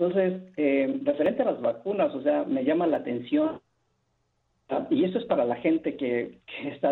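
This man's speech runs at a fairly quick pace with very wide pitch swings. His voice is fairly high in pitch. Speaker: caller. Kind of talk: phone-in call. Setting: phone call. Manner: halting, many repetitions.

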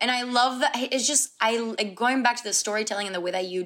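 A woman's fairly high voice in a Spanish accent, with ordinary pitch variation. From Puerto Rico. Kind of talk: casual interview chat.

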